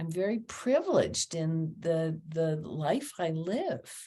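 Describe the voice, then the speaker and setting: Her voice is fairly low-pitched and somewhat breathy. The woman's tone is dark and mellow. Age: 80s+. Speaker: yoga teacher and author. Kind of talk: casual interview conversation.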